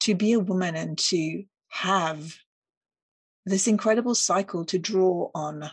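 With long, frequent pauses, a woman speaks fairly slowly in a somewhat breathy, medium-pitched voice with ordinary pitch variation. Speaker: podcast host. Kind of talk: solo reflective monologue.

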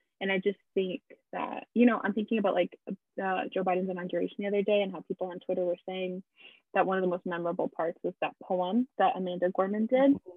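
A woman speaks in a plain, everyday voice at a medium pitch. Her pace is fairly quick and her intonation fairly even. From Massachusetts, born in Brazil. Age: 20s. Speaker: podcast co-host. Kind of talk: casual chat.

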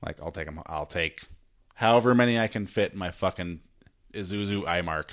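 A man's unremarkable speaking voice, fairly low in pitch, with an American accent, on a very clean recording with a silent background. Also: ordinary pitch variation, fairly quick pace. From US, Idaho (McCall). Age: 40s. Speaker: podcast host. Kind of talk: casual chat.

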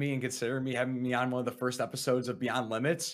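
Energetic and very fast, a man with an American accent speaks at a medium pitch on a very clean recording with a silent background. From US Midwest, Chicago suburbs. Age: 20s. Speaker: streamer and salesman. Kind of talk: casual interview chat.

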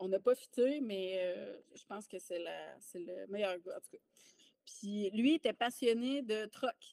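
The speech moves at a very slow pace with big swings in loudness, in a dry, close sound with no echo. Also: woman. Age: 30s. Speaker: army veteran and mindset coach. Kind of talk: casual interview chat.

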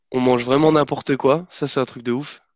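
Medium-pitched male voice in a quiet background. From France, Lyon. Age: 20s. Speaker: engineering student. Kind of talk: casual chat.

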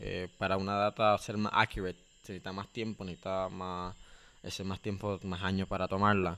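A bright, sharp voice in a flat monotone at a fairly quick pace, on a very clean recording with a silent background. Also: man, very deep, low pitch for a man. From Nicaragua, Corinto. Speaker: education program co-founder. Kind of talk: interview.

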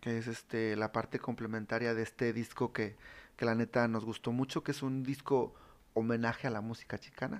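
On a very clean recording with a silent background, a man of medium pitch speaks at a moderate pace in a flat monotone. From Monterrey, northern Mexico (raised there since 1995). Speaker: regional Mexican musician. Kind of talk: casual chat.

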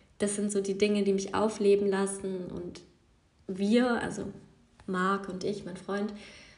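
In a room with audible echo, a woman speaks at a fairly slow pace with long, frequent pauses, her medium-pitched voice somewhat breathy and her intonation monotone and flat. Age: 20s. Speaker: yoga teacher and podcast host. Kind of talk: casual solo monologue. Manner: unscripted, with many fillers.

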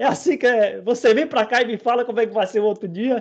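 Against a quiet background, a man with an extremely high pitch talks at a fairly quick pace. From interior of Bahia, Brazil. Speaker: podcast host, computing lecturer. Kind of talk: casual chat. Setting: live video stream.

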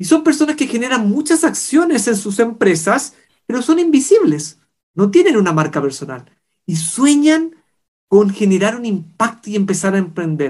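The man's voice is high and makes very wide pitch swings. He keeps a moderate pace. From Chile. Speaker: podcast host. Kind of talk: interview.

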